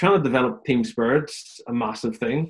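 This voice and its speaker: A man with a Northern Irish accent speaks at a moderate pace. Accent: Northern Irish (Belfast). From Northern Ireland, Belfast. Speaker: head of performance at a rugby club. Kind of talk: casual interview. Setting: remote call from home.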